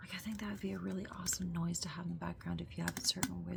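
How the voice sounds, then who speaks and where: Someone talks at a very fast clip over noticeable background noise. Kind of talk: ASMR whisper talk. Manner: soft, rambling.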